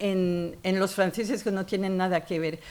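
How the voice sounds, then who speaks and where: A woman with a French accent at a fairly slow pace. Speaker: author and feminist columnist. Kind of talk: literary talk. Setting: university lecture hall with audience. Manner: animated.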